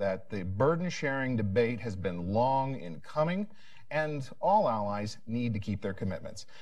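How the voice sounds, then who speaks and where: The speaker keeps a moderate pace. Their pitch swings very widely. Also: man. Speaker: policy analyst. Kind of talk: panel discussion.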